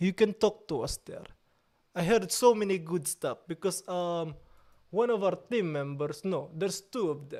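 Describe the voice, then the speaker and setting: A man's high-pitched voice at a moderate pace. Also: ordinary pitch variation. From Italy. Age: 30s. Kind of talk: casual chat with live chat readout. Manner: animated.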